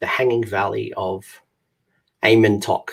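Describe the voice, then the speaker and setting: In an Australian accent, the speaker talks at a fairly slow pace. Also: man. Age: 30s. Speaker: gaming channel host. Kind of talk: live stream trivia game hosting. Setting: live stream. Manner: halting, many fillers.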